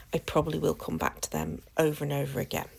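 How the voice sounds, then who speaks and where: A woman is speaking. She has a British accent. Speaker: craft channel host. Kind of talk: tutorial. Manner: casual, hesitant with fillers.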